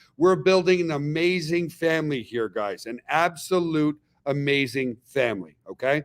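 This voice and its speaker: In an animated tone, a man speaks at a fairly high pitch with ordinary pitch variation. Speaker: network marketing company leader hosting webinar. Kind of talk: webinar sales presentation. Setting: online webinar. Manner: fast.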